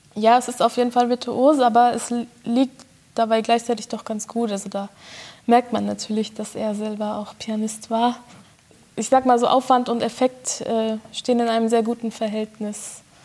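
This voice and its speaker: Noticeable background noise sits behind a woman with a fairly high voice. She talks at a moderate pace in a flat, monotone way. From Germany, Bochum (Ruhr area). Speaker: concert pianist. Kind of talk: interview. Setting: chamber music hall.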